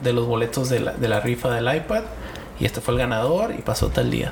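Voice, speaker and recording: Noticeable background noise sits behind a man who talks at a moderate pace in a Mexican accent. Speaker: podcast guest. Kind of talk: casual chat.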